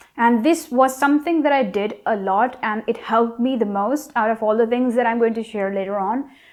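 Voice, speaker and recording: A woman with a non-native accent speaks fairly quickly at a fairly high pitch, with hardly any pauses. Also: ordinary pitch variation. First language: not English. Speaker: YouTuber giving language tips. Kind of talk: vlog tutorial.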